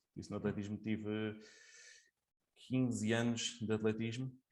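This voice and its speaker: Over a quiet background, a man with a fairly low voice speaks at a fairly slow pace with monotone, flat intonation. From Portugal, Coimbra. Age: 20s. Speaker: sports judge and coach. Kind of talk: interview. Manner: hesitant, many fillers.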